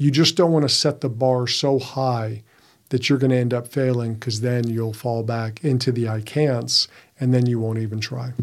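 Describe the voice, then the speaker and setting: At a moderate pace, a normal speaking voice carries fairly even intonation on a very clean recording with a silent background. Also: man, medium pitch for a man. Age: 50s. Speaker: podcast co-host, men's coach. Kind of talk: casual chat.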